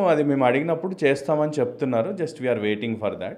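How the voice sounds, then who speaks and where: Very wide pitch swings in a man's voice of medium pitch. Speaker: hospital doctor. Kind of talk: interview answer.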